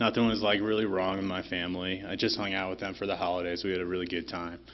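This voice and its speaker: A very fast man's voice, very deep and low in pitch, monotone and flat, with a Chicago-area accent. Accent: Chicago-area American English. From Chicago area, Illinois (Oak Park). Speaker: recovering alcoholic speaker at recovery meeting. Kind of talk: recovery meeting testimony.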